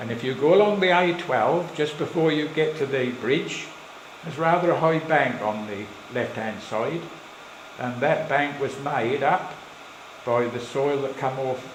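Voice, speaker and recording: The speaker has a Suffolk accent and talks at a fairly slow pace with ordinary pitch variation. Noticeable background noise is present. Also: man, fairly high pitch for a man. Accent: Suffolk burr. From Suffolk, England. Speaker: local historian. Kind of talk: live slideshow talk to an audience. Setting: village hall, live audience.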